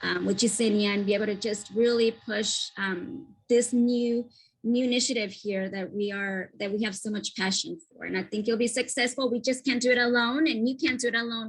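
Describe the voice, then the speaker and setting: A woman talks at a fairly quick pace in a somewhat breathy voice. Her pitch varies an ordinary amount. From Ecuador. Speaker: education partnership leader. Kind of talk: panel discussion.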